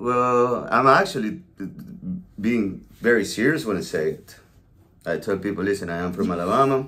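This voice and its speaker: Speaking with a Venezuelan accent in a room with audible echo, a man uses a medium-pitched, bright, sharp tone, lively intonation and big swings in loudness at a moderate pace, with long, frequent pauses. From Venezuela, La Guaira. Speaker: podcast co-host, realtor. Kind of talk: casual chat.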